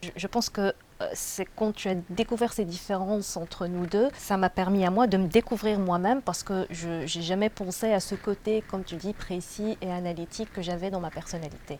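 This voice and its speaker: This woman's medium-pitched voice moves at a moderate pace with fairly even intonation. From Tunisia. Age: 30s. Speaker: job seeker. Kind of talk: interview testimony. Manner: hesitant.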